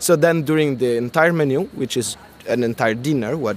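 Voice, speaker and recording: With an Italian accent, the speaker goes at a moderate pace with ordinary pitch variation over noticeable background noise. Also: man. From Italy. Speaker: comic artist and illustrator. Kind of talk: interview. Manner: halting, with many repetitions and fillers.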